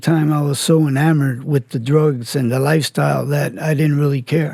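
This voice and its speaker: A man speaks at a moderate pace in a dark, mellow, somewhat breathy tone. His pitch is fairly high and varies in an ordinary way. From Miami, Florida (Cuban family). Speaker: former criminal telling his life story. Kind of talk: podcast interview testimony.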